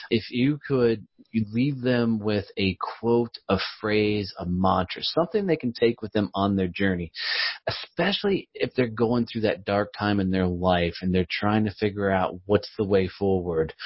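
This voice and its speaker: A man speaks at a fairly low pitch and a fairly slow pace in an unremarkable speaking voice. His pitch varies in an ordinary way. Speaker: podcast host. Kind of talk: casual interview.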